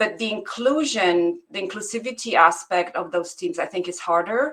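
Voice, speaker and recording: Speaking at a moderate pace, a woman with a non-native accent uses lively intonation at a medium pitch. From immigrant, outside English-speaking world. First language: not English. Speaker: academic researcher. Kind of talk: panel discussion question. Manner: halting, many repetitions.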